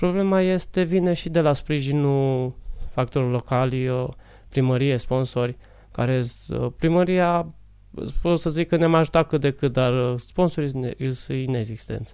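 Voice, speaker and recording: This man talks at a fairly slow pace in a fairly high pitch, with a dark, mellow tone and ordinary pitch variation. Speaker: martial arts coach. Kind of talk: interview.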